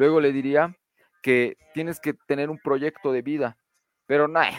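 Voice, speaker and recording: A man with an ordinary speaking voice talks at a fairly high pitch and moderate pace, his intonation fairly even. The sound is dry and close, with no echo. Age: 20s. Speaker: podcast panelist. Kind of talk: casual panel discussion.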